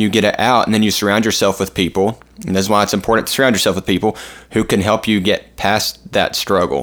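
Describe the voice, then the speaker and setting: Speaking at a very fast pace, a man keeps a fairly low pitch. His intonation stays fairly even and his loudness very even. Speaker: podcast host. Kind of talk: casual chat.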